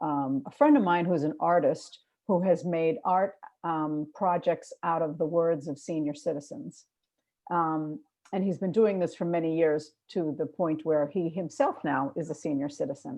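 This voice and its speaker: Someone with a Boston accent talks at a moderate pace with ordinary pitch variation. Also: woman, fairly low pitch for a woman. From Boston, Massachusetts. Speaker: filmmaker. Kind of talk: panel discussion.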